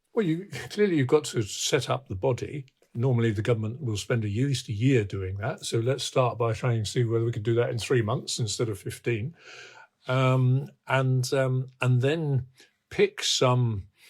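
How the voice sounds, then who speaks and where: A man with a somewhat breathy voice speaks at medium pitch and a moderate pace on a very clean recording with a silent background. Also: ordinary pitch variation. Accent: British. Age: 80s+. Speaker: infrastructure expert. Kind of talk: interview. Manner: halting.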